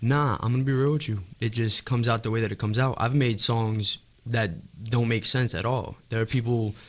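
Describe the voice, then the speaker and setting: A man talks at a fairly quick pace with a New York accent, his pitch medium. His intonation stays fairly even over a quiet background. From New York City, Staten Island. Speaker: rapper. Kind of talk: casual interview.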